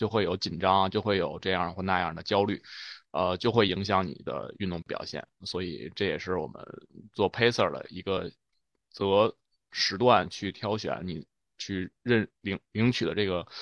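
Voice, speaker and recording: Against a quiet background, a man with an ordinary speaking voice talks at a moderate pace, his pitch fairly low and his intonation fairly even. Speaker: running coach. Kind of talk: casual chat.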